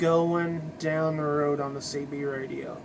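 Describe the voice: The pace is slow. The tone is fairly bright. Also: man.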